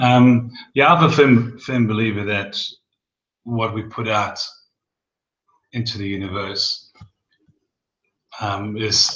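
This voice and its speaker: Speaking at a very slow pace with long, frequent pauses, a man keeps ordinary pitch variation. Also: medium pitch for a man. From South Africa. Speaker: skincare business co-presenter. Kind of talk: webinar presentation. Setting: online video broadcast.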